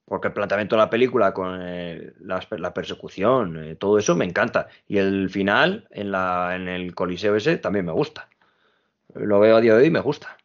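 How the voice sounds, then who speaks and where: A man at a moderate pace, fairly low in pitch, with ordinary pitch variation. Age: 20s. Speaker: podcast host. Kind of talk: casual chat. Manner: animated.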